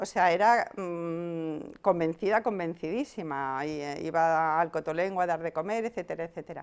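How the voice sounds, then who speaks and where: With hardly any pauses, a woman talks at a moderate pace in a fairly low voice with ordinary pitch variation, on a very clean recording with a silent background. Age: 60s. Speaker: activist, head of an anti-islamophobia group. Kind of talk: interview. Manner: hesitant, with fillers.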